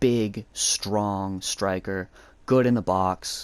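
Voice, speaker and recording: On a very clean recording with a silent background, a man with an American accent speaks at a fairly low pitch with fairly even intonation. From United States. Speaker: gaming YouTuber. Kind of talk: gameplay commentary. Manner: casual, hesitant with fillers.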